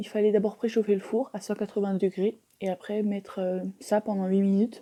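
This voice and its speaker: This woman's voice has a dark, mellow tone and a medium pitch. She keeps a moderate pace. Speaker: mukbang youtuber. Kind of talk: mukbang casual chat while eating. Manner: chewing, eating sounds.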